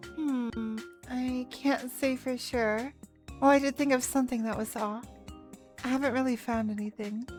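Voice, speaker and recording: Over music in the background, a woman with a high voice speaks at a moderate pace, leaving long, frequent pauses. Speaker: let's play streamer. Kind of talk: casual stream talk.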